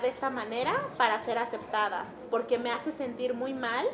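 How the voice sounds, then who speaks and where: Noticeable background noise sits behind a woman with a high pitch. Her intonation stays fairly even. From Mixtec community in Mexico. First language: Mixtec (speaking Spanish). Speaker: interviewee sharing personal story. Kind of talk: testimony. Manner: halting.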